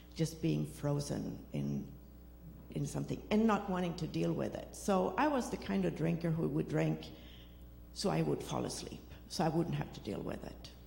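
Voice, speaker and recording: There is audible room echo as a woman with a Swedish accent talks at a moderate pace. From Sweden. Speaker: recovery program participant. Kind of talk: testimony.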